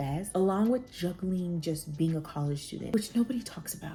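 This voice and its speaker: Music plays in the background. A woman speaks with a fairly low pitch. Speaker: nurse, former nursing student. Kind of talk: casual talk to camera.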